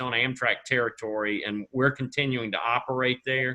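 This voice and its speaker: A man with a Southern US accent talks at a medium pitch with fairly even intonation. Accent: Southern drawl. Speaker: rail company official. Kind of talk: webinar panel answer.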